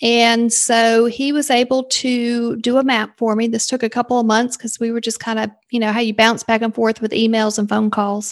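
A woman with a Southern US accent, fairly high pitch, moderate pace and monotone, flat intonation. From South Carolina, US South. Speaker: leadership coach and sales consultant. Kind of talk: casual interview chat.

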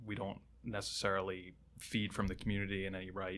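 In a very clean recording with a silent background, a man speaks at a fairly low pitch with a bright, sharp tone. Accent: American. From southeastern Pennsylvania, outside Philadelphia. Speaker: fire lieutenant. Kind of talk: casual interview. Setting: studio.

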